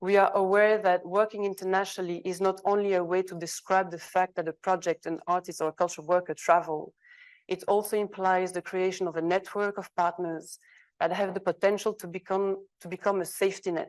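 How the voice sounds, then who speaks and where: A woman with a Flemish Belgian accent, medium pitch, flat monotone intonation and fairly quick pace, big swings in loudness, over a quiet background. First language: Dutch. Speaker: arts organisation specialist, conference panelist. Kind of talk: reading aloud a co-signed open letter at a conference panel. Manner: hesitant, with fillers and self-corrections.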